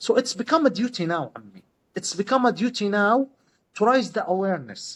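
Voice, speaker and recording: With lively intonation and big swings in loudness, a man talks at a high pitch. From Gaza, Palestine. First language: Arabic. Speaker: pharmacist. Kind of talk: interview. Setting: podcast. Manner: halting.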